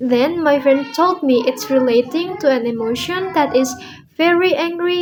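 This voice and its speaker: This woman speaks in an Indonesian accent at a moderate pace. Her high pitch shows ordinary variation. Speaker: language student. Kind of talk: speaking assignment monologue. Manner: halting.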